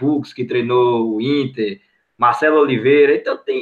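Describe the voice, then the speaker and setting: This man has an unremarkable speaking voice, fairly high in pitch, and talks at a moderate pace. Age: 20s. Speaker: football fan, channel supporter. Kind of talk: casual chat.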